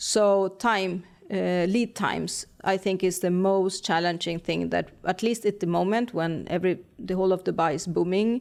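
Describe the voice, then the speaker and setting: A woman with a non-native accent speaks at a moderate pace and medium pitch with fairly even intonation, very even loudness and hardly any pauses, in a very clean recording with a silent background. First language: not English. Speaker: interior designer. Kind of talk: casual chat. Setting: studio.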